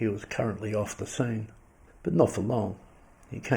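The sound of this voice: Someone reads the text in an unforced reading voice.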